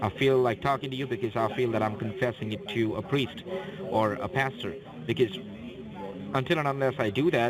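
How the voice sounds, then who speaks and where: A man with a non-native accent speaks at a fairly quick pace over noticeable background noise. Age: young. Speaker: phone scammer. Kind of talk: confessional phone conversation. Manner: halting, repeats words.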